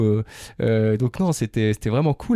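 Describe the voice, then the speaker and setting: Over a very clean recording with a silent background, a man talks at a fairly quick pace with a dark, mellow tone, ordinary pitch variation, and a dry, close sound with no echo. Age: 40s. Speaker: motorcycle adventurer and event organizer. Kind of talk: casual interview. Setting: outdoors in the countryside. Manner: hesitant, many fillers.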